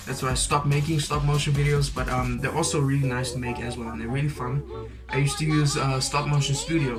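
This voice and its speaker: A man speaks at a very fast pace with music in the background. The room echo is audible. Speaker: YouTuber. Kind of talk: casual Q&A vlog. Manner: relaxed, hesitant with fillers.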